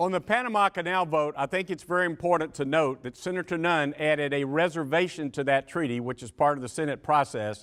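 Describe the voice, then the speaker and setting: A man with a Georgia accent speaks at a fairly quick pace with hardly any pauses, his fairly high pitch showing ordinary variation, in a very clean recording with a silent background. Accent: US Southern (Georgia). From Georgia, Macon. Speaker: former senate staffer, panelist. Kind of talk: panel discussion.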